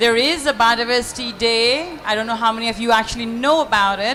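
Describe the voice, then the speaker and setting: Noticeable background noise sits behind a woman's voice. She speaks at a fairly quick pace with a fairly high pitch and ordinary pitch variation. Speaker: panelist. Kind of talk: panel discussion. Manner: loud.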